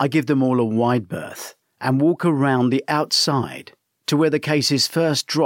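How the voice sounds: The surroundings are quiet while someone reads in a natural voice.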